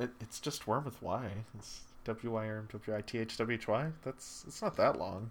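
A man talks in an ordinary speaking voice at medium pitch. His pace is moderate and his intonation fairly even. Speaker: podcast co-host. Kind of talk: casual chat.

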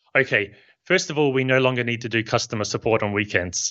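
This man speaks with a New Zealand accent. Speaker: software company founder. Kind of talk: interview.

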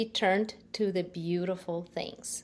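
Speaking at a fairly slow pace, a woman talks with a Ukrainian accent. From Ukraine. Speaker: nonprofit founder. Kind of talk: interview. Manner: halting.

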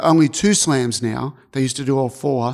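Recorded very cleanly with a silent background, a man with an Australian accent speaks at a fairly high pitch with fairly even intonation. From Australia (Albury, NSW). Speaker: tennis strategy analyst and coach. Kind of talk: interview.

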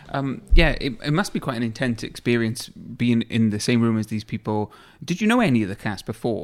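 Speaking at a fairly quick pace, a man talks in a Welsh accent. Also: medium pitch for a man, ordinary pitch variation. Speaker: podcast co-host. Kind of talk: interview.

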